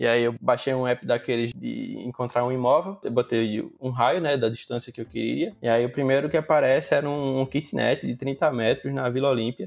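An ordinary speaking voice from a man, with ordinary pitch variation. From Maceió, Alagoas, Brazil. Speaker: mobile software engineer. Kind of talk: casual interview. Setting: podcast recording.

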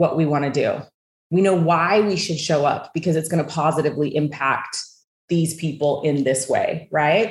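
A woman's fairly low, somewhat breathy voice with an American accent and ordinary pitch variation. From US West (southern Idaho and Utah). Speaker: wealth coach and entrepreneur. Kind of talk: interview conversation.

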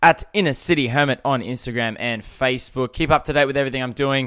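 A man speaks with an Australian accent at a fairly quick pace. His tone is animated, and the recording is very clean with a silent background. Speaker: podcast host. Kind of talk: casual chat. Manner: loud.

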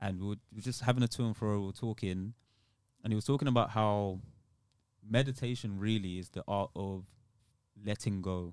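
On a very clean recording with a silent background, a man with a London accent talks at a fairly quick pace, pitched fairly low, with fairly even intonation and long, frequent pauses. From London, England (born in Nigeria, moved as child). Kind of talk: casual chat.

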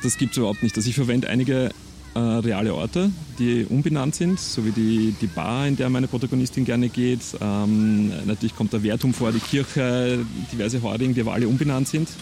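A man of medium pitch talks at a fairly quick pace with very even loudness and ordinary pitch variation, against noticeable background noise. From Lower Austria, Perchtoldsdorf south of Vienna. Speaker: crime novelist. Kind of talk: casual interview chat.

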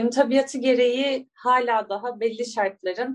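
Woman, a plain, everyday voice, pitched on the high side, medium tempo. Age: 30s. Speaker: biologist and astrology coach. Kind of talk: interview conversation. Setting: remote call.

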